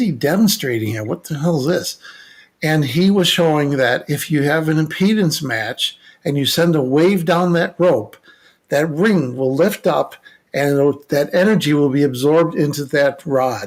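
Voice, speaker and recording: At a moderate pace, a man with an ordinary speaking voice speaks in a fairly high pitch with lively intonation. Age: 60s. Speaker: electronic engineer and paranormal investigator. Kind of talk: casual podcast conversation.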